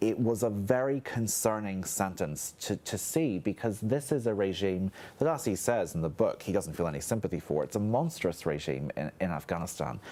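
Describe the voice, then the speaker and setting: With a Northern Irish accent, a man speaks at a moderate pace in a fairly low pitch and a dark, mellow tone, his pitch swinging very widely with hardly any pauses. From Northern Ireland. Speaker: historian. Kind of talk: panel discussion. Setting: studio.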